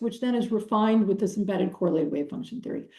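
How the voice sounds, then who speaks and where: Fairly high in pitch, a woman's somewhat breathy voice carries a dark, mellow tone and ordinary pitch variation. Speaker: professor. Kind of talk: lecture. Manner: halting with many fillers.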